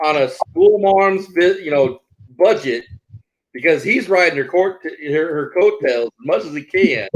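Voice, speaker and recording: This man talks loudly at a fairly slow pace, his high pitch carried by lively intonation. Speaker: livestream co-host, travel channel. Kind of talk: casual chat. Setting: livestream.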